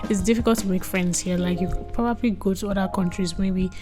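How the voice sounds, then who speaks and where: A woman talks at a medium pitch. Behind her, music can be heard. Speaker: vlogger, international student. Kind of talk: casual vlog talk. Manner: animated.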